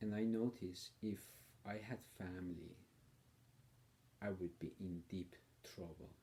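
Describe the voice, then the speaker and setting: Very deep and low, a man's somewhat breathy voice has a dark, mellow tone and ordinary pitch variation as he speaks at a very slow pace. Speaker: political commentator. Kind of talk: personal video monologue. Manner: hesitant, with fillers.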